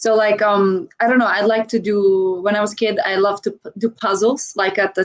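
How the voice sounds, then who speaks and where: With a Croatian accent, a woman speaks at a moderate pace in a medium pitch with fairly even intonation. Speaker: dancer and content creator. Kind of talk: interview chat. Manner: halting with many fillers.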